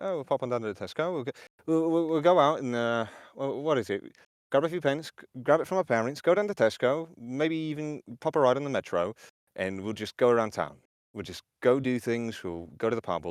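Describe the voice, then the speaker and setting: A man's put-on character voice, mumbled at a fairly quick pace, medium in pitch with lively intonation, on a very clean recording with a silent background and a dry, close sound free of echo. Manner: mumbled, casual.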